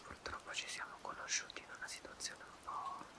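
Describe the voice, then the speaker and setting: Soft-spoken, a man talks at a fairly slow pace over loud background noise. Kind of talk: role-play monologue to viewer. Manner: soft, close ASMR murmur. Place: home room. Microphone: phone near.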